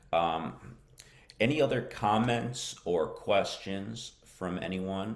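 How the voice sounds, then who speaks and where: A man with an American accent speaks in a very deep, low voice with ordinary pitch variation. Audible room echo surrounds him. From United States. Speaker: English teacher. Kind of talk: live-stream lesson. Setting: Facebook live broadcast. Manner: hesitant, many fillers.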